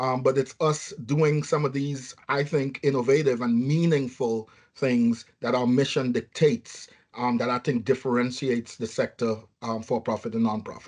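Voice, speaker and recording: A man speaks in a strong Trinidadian accent at medium pitch. His pace is moderate and his intonation fairly even. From Trinidad and Tobago. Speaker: nursing home chief executive. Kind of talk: podcast interview. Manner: hesitant, many fillers.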